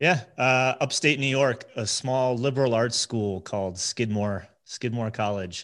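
A plain, everyday voice with an American accent moves at a fairly slow pace with hardly any pauses. Pitch varies in an ordinary way over a quiet background. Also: man, medium pitch for a man. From New Jersey. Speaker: agency CEO and business coach. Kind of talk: podcast interview.

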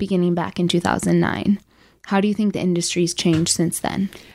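In an American accent, the speaker uses a dark, mellow tone and fairly even intonation on a very clean recording with a silent background. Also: woman. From Chicago. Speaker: podcast host. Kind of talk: interview.

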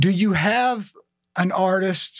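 With a Southern US accent, a man talks in a high voice with ordinary pitch variation. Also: dry, close sound with no echo. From Alabama. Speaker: podcast host. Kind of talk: casual interview.

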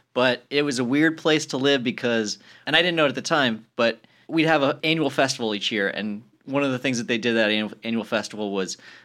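Fairly quick and bright, sharp in tone, a man talks with an American accent on a very clean recording with a silent background. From US, rural Colorado mountain town. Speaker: comedy writer. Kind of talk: casual chat. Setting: studio.

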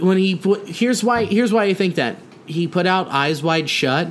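Moderate pace and high pitch from a man, over noticeable background noise. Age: 20s. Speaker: comedian and podcast co-host. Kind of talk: casual chat. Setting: at a kitchen table.

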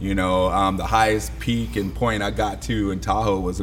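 A man with a very deep, low pitch is heard with audible room echo and noticeable background noise. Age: 50s. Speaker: personal trainer. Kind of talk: casual chat.

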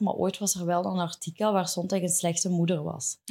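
A woman with a Flemish accent speaks in monotone, flat intonation. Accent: Flemish Dutch. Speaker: podcast host. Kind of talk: casual chat. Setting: studio.

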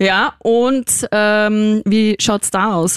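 With monotone, flat intonation, a woman speaks at a medium pitch in a dry, close sound with no echo. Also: very clean recording, silent background. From Austria, Vienna. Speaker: radio and podcast host. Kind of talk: casual interview. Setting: studio.

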